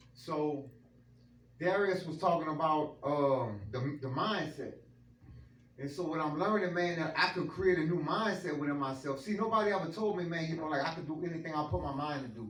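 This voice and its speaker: Amid audible room echo and noticeable background noise, a man with an American accent talks at a fairly quick pace in a fairly high pitch, with ordinary pitch variation. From Louisiana, New Iberia. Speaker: motivational speaker. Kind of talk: testimony. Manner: unscripted, casual.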